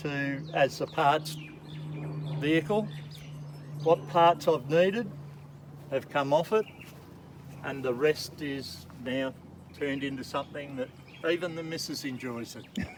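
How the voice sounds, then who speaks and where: Against noticeable background noise, a man with an Australian accent speaks at a very slow pace and a fairly high pitch. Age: 70s. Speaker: jeep owner. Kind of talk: casual chat.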